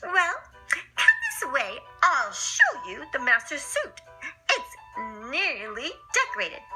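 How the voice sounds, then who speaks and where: A woman's put-on character voice at a fairly slow pace, with clear music in the background. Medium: read story. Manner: salesy, nervous.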